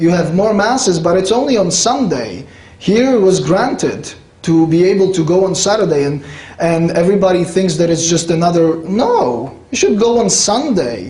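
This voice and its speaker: A man's high-pitched voice with lively intonation at a moderate pace, very even in loudness, with audible room echo and noticeable background noise. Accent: Polish. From Poland, rural village. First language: Polish. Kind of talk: lecture. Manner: conversational, with fillers.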